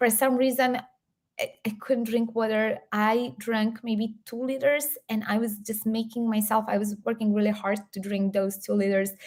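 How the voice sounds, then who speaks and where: A woman with a Serbian accent speaks with fairly even intonation. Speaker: health coach and YouTuber. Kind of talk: live stream Q&A. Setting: live stream.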